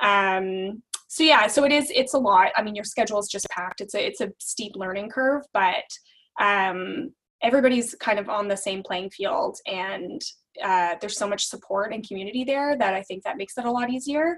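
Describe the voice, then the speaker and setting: A plain, everyday voice from a woman with a Canadian accent, fairly high in pitch, with lively intonation and a moderate pace. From Alberta, Canada. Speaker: law clerk. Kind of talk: casual interview.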